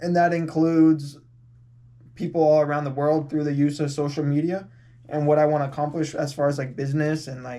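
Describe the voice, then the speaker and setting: Speaking with an American accent, a man with a dark, mellow tone keeps a monotone, flat intonation amid audible room echo. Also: fairly high pitch for a man, fairly quick pace. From California. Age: 20s. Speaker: podcast guest. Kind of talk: casual chat. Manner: casual, filler-heavy.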